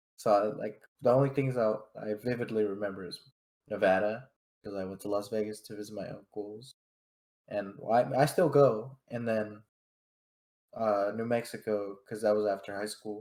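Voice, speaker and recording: A man with a Spanish accent and a fairly low pitch speaks at a moderate pace with fairly even intonation, big swings in loudness and long, frequent pauses. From California, Fresno. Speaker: podcast co-host. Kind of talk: casual chat.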